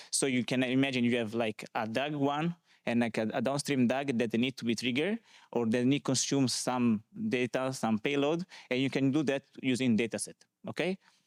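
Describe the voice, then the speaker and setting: A man with an Italian accent at a medium pitch, with ordinary pitch variation, a moderate pace and very even loudness, in a dry, close sound with no echo on a very clean recording with a silent background. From Italy, small village. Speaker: conference speaker, data consultant. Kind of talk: conference talk. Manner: hesitant, many fillers.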